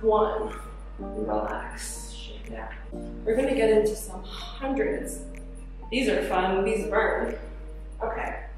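Over clear background music and strong room echo, a woman talks at a very slow pace with long, frequent pauses. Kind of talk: workout instruction. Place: gym. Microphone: camera far.

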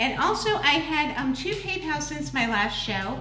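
Light background noise and audible room echo around a woman talking. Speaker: cooking show host. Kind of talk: casual livestream chat. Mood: friendly, upbeat. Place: kitchen. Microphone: camera far.

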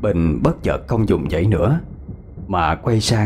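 This is a natural reading voice. The pitch varies an ordinary amount.

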